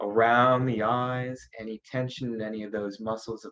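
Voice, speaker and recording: Here is a man with a plain, everyday voice. His pitch is medium. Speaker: naturopathic doctor, meditation guide. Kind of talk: guided meditation. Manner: calm, slow.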